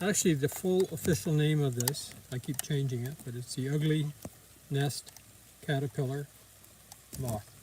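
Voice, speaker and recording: With noticeable background noise behind him, a man talks at a moderate pace in a fairly high pitch, with ordinary pitch variation and long, frequent pauses. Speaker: amateur naturalist live streamer. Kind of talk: live commentary. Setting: outdoors.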